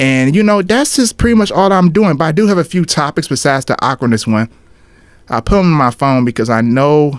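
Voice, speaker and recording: A man at a fairly quick pace, his pitch swinging very widely. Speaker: podcast host and vlogger. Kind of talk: casual solo podcast monologue. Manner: casual, conversational.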